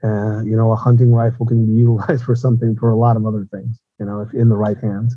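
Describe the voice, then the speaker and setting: A man talks very fast at a medium pitch, somewhat breathy. His intonation stays monotone and flat. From Mexico, Tijuana. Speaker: former police officer and security consultant. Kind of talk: interview.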